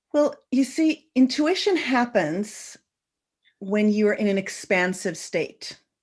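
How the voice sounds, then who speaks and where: Against a quiet background, a woman speaks at a very slow pace in a fairly high, somewhat breathy voice. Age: 60s. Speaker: intuition teacher. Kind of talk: interview. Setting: online radio show.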